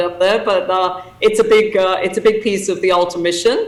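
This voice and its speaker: Over noticeable background noise and audible room echo, a woman with an English accent talks at a fairly quick pace and a medium pitch. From England. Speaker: association president and CEO. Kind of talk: conference talk. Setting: video call. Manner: hesitant with many fillers.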